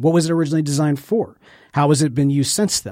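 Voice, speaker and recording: Very fast and fairly high-pitched, a man speaks with ordinary pitch variation in a very clean recording with a silent background. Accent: American. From Jackson, Mississippi. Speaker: podcast studio owner. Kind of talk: casual interview chat.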